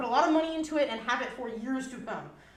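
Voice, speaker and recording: A loud, high-pitched woman at a very fast pace, amid noticeable background noise and audible room echo. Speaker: fursuit maker giving convention panel. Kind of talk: convention panel presentation. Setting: live panel room with audience.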